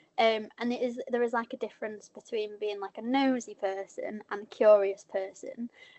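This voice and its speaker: A woman with a northern English accent speaks at a fairly high pitch. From northern England. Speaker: journalist. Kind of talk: panel discussion.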